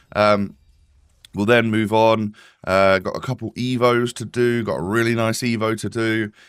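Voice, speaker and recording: Man's medium-pitched, monotone voice with flat intonation, on a very clean recording with a silent background. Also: moderate pace. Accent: British. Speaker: gaming YouTuber. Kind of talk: casual gameplay commentary. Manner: toned down, calmer delivery.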